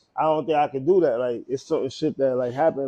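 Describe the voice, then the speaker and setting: Speaking with a Brooklyn accent, a man with a fairly high pitch and a dark, mellow tone talks at a moderate pace. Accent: New York, Brooklyn. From Brooklyn, New York. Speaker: clothing brand owner. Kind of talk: casual chat.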